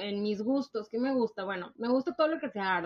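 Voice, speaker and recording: In a Monterrey accent, a woman speaks with a fairly high pitch. Her pitch varies in an ordinary way. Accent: northern Mexican (Monterrey) Spanish, posh. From Mexico, Monterrey. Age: 20s. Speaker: podcast co-host. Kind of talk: casual chat. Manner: posh-sounding.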